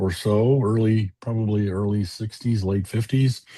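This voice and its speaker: A man speaks with a dark, mellow tone, somewhat breathy. The background is quiet. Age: 70s. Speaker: retired programmer and biker chaplain. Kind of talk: casual interview chat. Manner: halting, many fillers.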